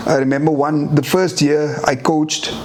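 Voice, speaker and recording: A fairly high-pitched man with audible room echo and noticeable background noise. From South Africa, Eastern Cape. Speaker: former rugby sevens player and coach. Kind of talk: casual interview. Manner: repetitive, halting.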